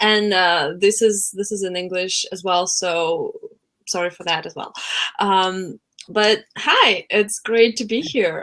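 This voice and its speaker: Very slowly, a woman speaks with a Russian accent. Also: medium pitch for a woman, fairly even intonation, big swings in loudness. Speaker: coach and former translator. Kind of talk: webinar interview. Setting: live webinar.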